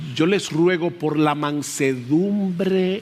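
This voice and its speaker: A man at a very slow pace with ordinary pitch variation, amid audible room echo and noticeable background noise. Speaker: pastor. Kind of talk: sermon. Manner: loud at times.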